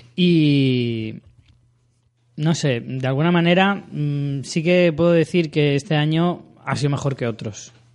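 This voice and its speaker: An unremarkable speaking voice from a man, fairly high in pitch with ordinary variation, over a quiet background. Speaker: podcast host. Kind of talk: casual chat.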